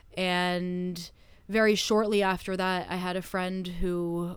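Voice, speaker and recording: Speaking in a Canadian accent, a woman with medium pitch talks at a very slow pace in a flat monotone. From Canada. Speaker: stage hypnotist. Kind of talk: interview conversation.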